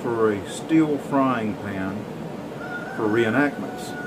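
A man speaks at a very slow pace. Loud noise fills the background. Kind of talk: casual tutorial intro. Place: workshop. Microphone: phone near.

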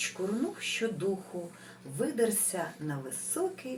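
Text read plainly aloud.

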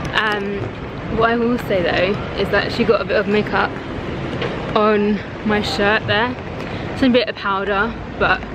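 A woman speaks at a fairly slow pace. There is loud background noise, and the sound is dry with no echo. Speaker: vlogger. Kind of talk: casual vlog chat. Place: street. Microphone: phone near.

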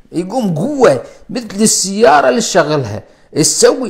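With an Iraqi accent, a man speaks fairly slowly in a high, animated voice with lively intonation. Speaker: cardiologist. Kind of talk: live stream health talk. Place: home room. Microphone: lapel.

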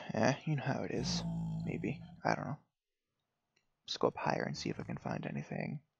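Quietly and at a fairly quick pace, a man speaks with long, frequent pauses while music plays in the background. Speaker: gaming youtuber. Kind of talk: gameplay commentary. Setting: at home, family sleeping. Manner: quiet, keeping voice down; hesitant, many fillers.

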